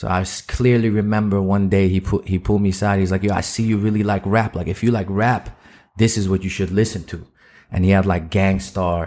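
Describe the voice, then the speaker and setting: A man with a fairly low pitch and a dark, mellow tone talks at a fairly quick pace with fairly even intonation on a very clean recording with a silent background. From Netherlands. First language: Dutch. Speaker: rapper. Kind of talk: casual interview chat.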